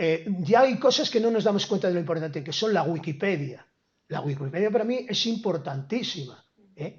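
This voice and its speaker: In an animated tone, a man talks at a moderate pace with a high pitch and lively intonation. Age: 70s. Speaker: professor. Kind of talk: lecture. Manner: halting.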